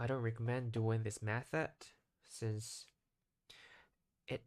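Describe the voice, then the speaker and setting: In a very clean recording with a silent background and a dry, close sound with no echo, a man with a Japanese accent speaks in a monotone, flat intonation. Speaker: English learner vlogger. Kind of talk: casual monologue vlog. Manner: halting, frequent self-corrections.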